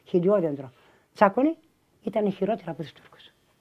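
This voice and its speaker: With a dark, mellow tone, a woman talks at a fairly quick pace using lively intonation. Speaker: refugee eyewitness. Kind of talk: interview testimony. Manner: animated.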